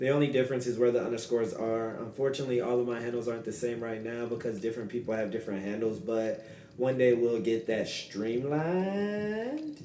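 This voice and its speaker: Talking at a fairly quick pace with hardly any pauses, a man uses a medium pitch and ordinary pitch variation, with audible room echo and noticeable background noise. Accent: American. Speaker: podcast host. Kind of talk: solo podcast monologue. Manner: fast.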